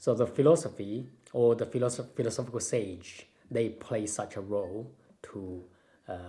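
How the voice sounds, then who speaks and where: A man with a Chinese accent has a dark, mellow tone, a somewhat breathy sound and ordinary pitch variation. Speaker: Tai Chi and Taoism master. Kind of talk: casual Q&A chat. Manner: halting, with many fillers.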